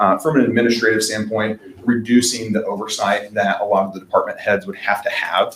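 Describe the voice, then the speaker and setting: With an American accent, a man talks at a fairly quick pace in a monotone, flat intonation. Noticeable background noise runs underneath. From Indiana. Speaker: fleet management sales representative. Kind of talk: business presentation. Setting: town council meeting. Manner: fast.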